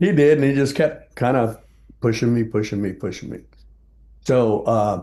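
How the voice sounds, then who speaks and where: A man with an American accent and a dark, mellow tone, at a moderate pace with long, frequent pauses. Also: medium pitch for a man, ordinary pitch variation. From South Texas. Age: 70s. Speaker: jazz bassist. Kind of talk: interview.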